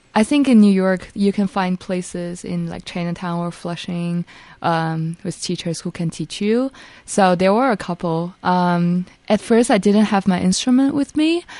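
With a dark, mellow tone and medium pitch, a woman talks fairly slowly with ordinary pitch variation against a quiet background. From China. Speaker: college student musician. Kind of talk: casual interview chat.

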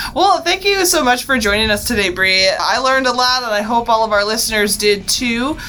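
A woman with a fairly high voice speaks at a fairly quick pace with hardly any pauses, her pitch swinging very widely. Her loudness stays very even over noticeable background noise. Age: 30s. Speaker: podcast host, university wellbeing director. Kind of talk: casual interview.

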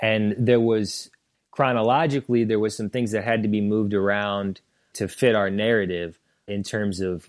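A man with an American accent uses a normal speaking voice, fairly low in pitch, with fairly even intonation at a moderate pace, on a very clean recording with a silent background. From St. Louis, Missouri. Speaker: documentary filmmaker. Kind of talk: interview.

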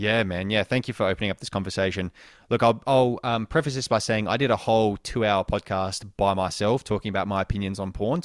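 A man with an Australian accent talks at a very fast pace and fairly low pitch with ordinary pitch variation, captured in a dry, close sound with no echo on a very clean recording with a silent background. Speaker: sex coach. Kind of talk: interview. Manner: casual.

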